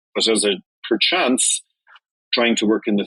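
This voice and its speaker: A Dublin-accented man speaking at a fairly slow pace, the sound dry and close with no echo. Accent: Irish (Dublin). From Ireland. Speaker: journalist. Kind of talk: interview answer.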